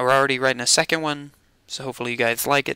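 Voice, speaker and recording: A man's bright, sharp tone comes through in a dry sound with no echo against a quiet background. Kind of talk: casual vlog chat. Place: home room. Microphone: headset.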